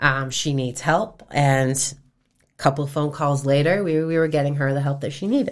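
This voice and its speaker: A woman speaks at a moderate pace with an American accent and a very deep, low pitch. Her intonation stays fairly even on a very clean recording with a silent background. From Massachusetts (Fairhaven). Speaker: nonprofit founder, domestic violence survivor. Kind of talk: interview testimony.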